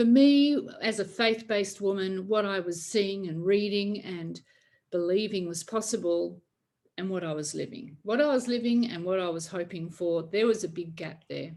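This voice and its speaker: A woman with a normal speaking voice talks at a moderate pace. Her pitch is medium, with ordinary pitch variation. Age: 60s. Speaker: faith-based emotional healing coach. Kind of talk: online workshop talk.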